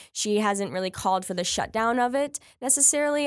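With an American accent, a woman uses a plain, everyday voice. Her pace is fairly quick, her pitch variation ordinary. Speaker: university student and campus women's group president. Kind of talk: casual political discussion.

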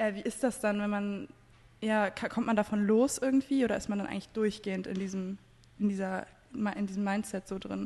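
An ordinary speaking voice, a woman at medium pitch with fairly even intonation and a moderate pace. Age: 20s. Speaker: podcast host. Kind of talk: casual chat.

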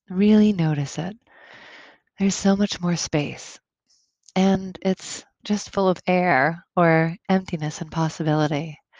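Against a quiet background, a woman with a fairly low pitch speaks fairly slowly in a calm, soothing tone, with fairly even intonation and long, frequent pauses. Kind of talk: guided meditation. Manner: calm, slow and soothing, with gentle instructions; soft-spoken, with long pauses between instructions.

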